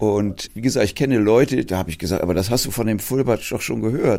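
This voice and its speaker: A man's dark, mellow tone comes through in a very clean recording with a silent background. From Hamburg, Germany. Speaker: theology professor. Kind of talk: interview.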